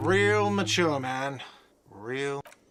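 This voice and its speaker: A put-on character voice, whiny and shouting. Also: man, medium pitch for a man. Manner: sneering, shouting.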